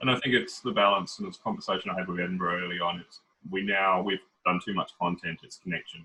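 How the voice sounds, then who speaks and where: Here a man talks at a very fast pace with an Australian accent. His loudness swings widely. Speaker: head of a city literature office. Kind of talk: video call panel discussion. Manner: fast when excited.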